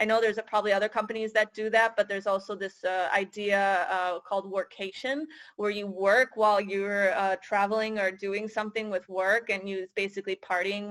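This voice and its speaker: The voice has a Michigan accent and monotone, flat intonation. The sound is dry and close, with no echo. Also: woman. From US, Michigan. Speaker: career advisor for international students. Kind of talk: interview. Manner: hesitant, many fillers.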